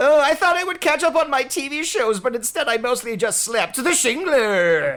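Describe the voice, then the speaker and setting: A female-sounding, put-on character voice, pitched high and sing-song. It moves at a moderate pace with hardly any pauses. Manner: cartoonish sing-song inflection.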